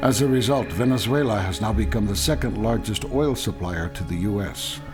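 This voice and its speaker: A man's fairly low voice at a moderate pace with very wide pitch swings, music in the background. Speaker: documentary narrator. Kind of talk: documentary narration.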